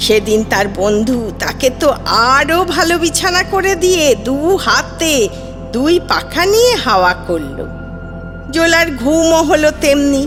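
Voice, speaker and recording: With music in the background, the voice swings very widely in pitch. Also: woman. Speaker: storyteller. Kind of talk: children's fairy tale reading.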